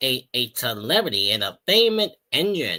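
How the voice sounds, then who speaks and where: A man puts on a character voice at a medium pitch, his pitch swinging very widely. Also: moderate pace. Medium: read story.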